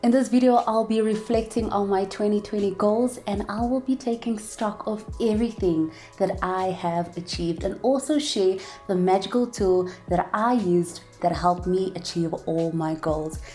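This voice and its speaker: A woman with a South African accent, medium-pitched, upbeat in tone, with ordinary pitch variation and a moderate pace, music in the background. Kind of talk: casual talk to camera.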